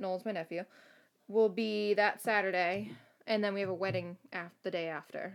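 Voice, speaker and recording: In a very clean recording with a silent background, a woman with an ordinary speaking voice talks at a fairly quick pace with ordinary pitch variation. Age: 20s. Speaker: podcast co-host, youth program supervisor. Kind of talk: casual chat.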